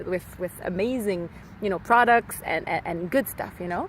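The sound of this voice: A woman speaks at a moderate pace, her medium pitch showing ordinary variation.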